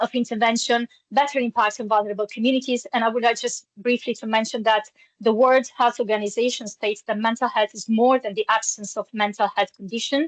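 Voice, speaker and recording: Sounding dry and close with no echo, a woman speaks at a fairly quick pace and fairly high pitch in a monotone, flat intonation. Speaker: humanitarian peer support presenter. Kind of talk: webinar presentation. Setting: online webinar. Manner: fast.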